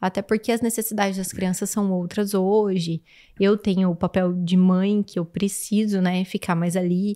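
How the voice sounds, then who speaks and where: A woman's medium-pitched voice, dark and mellow in tone, at a moderate pace with monotone, flat intonation, in a dry, close sound with no echo and a very clean, silent background. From Campo Grande, Brazil. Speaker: farmer. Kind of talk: casual chat.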